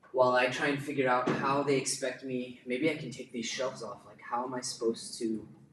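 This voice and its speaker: A man with an American accent at a medium pitch and moderate pace, amid noticeable background noise and audible room echo. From United States. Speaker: YouTuber building a studio. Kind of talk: livestream casual chat. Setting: livestream in studio under construction. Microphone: poor audio quality, camera mic.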